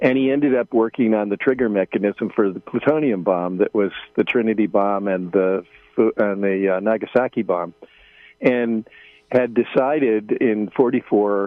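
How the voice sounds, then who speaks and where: Music plays in the background as a man talks at a moderate pace. His voice sits fairly low, with ordinary pitch variation. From United States. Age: 70s. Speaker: journalist. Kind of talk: radio interview. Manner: halting, many fillers.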